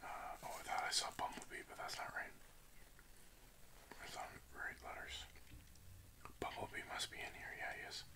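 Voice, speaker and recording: A man is whispering. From Canada. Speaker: ASMR creator. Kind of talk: casual ASMR talk to camera while doing a word puzzle. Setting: close-mic ASMR recording. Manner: whispered, soft-spoken. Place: home room. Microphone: studio mic.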